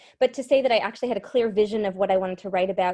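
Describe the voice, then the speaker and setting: Against a quiet background, a woman with a slight Massachusetts accent speaks in a dark, mellow tone with ordinary pitch variation. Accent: Massachusetts, light. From Massachusetts, Cape Cod. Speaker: singer-songwriter. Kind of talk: interview.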